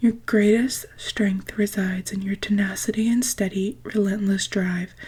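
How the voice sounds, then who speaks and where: Whispering and soft-spoken, a woman talks at a fairly slow pace in a somewhat breathy voice. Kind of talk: ASMR book reading. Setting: close-mic studio. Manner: soft-spoken, whispery.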